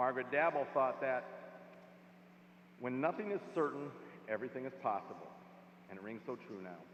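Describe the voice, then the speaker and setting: A man talks at a fairly quick pace and a medium pitch, with very wide pitch swings. His speech has long, frequent pauses. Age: 60s. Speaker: commencement speaker. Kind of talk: commencement speech.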